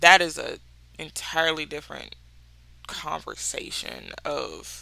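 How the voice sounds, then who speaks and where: A woman speaks with a Mississippi accent. Her pace is fairly slow. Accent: Mississippi accent, noticeable. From US South, Mississippi. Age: 30s. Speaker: book podcaster. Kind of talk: casual chat. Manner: animated.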